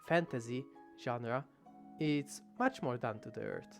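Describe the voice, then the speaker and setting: Music plays behind a man who has a medium pitch and a strong non-native accent. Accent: thick non-native English. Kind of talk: video essay narration. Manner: rambling, casual.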